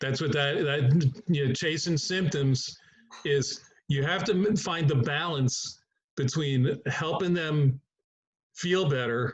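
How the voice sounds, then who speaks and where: A man with an American accent speaks very slowly at a fairly high pitch, somewhat breathy, with ordinary pitch variation. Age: 70s. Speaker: chiropractor. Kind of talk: group discussion.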